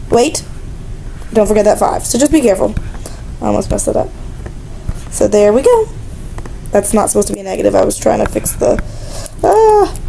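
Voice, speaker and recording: Over noticeable background noise and audible room echo, a woman talks at a fairly quick pace broken by long, frequent pauses. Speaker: math teacher. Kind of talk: lecture. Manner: fast; casual, with fillers.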